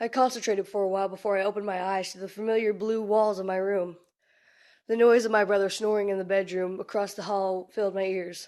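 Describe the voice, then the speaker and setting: At a very fast pace, a woman of medium pitch speaks in a monotone, flat intonation against a quiet background. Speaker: amateur creepypasta writer and reader. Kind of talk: horror story reading. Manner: reading from text.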